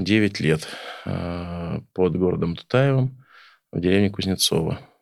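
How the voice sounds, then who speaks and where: In a very clean recording with a silent background, a man speaks very slowly with ordinary pitch variation. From Oryol region, Russia. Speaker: folk accordionist and village farmer. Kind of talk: casual interview chat. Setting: studio.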